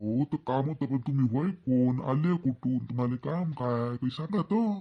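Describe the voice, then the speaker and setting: A man speaks in a cartoonish character voice at a moderate pace, his medium pitch showing ordinary variation and his loudness very even. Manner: nosy, eager.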